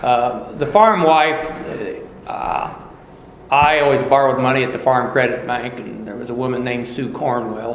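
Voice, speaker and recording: At a moderate pace, a man speaks with a medium pitch and ordinary pitch variation. Audible room echo and noticeable background noise fill the recording. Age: 60s. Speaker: farmer. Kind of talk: oral history interview.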